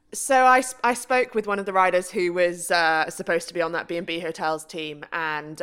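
A woman with an English accent talks at a moderate pace and a fairly low pitch, with ordinary pitch variation. Her tone is bright and sharp, on a very clean recording with a silent background. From UK. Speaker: professional cyclist. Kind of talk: casual chat.

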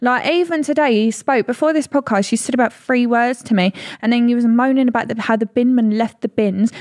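With an English accent, a woman speaks at a high pitch and a fairly quick pace, her pitch varying in an ordinary way and her loudness very even, in a dry, close sound with no echo. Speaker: podcast co-host. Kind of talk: casual chat.

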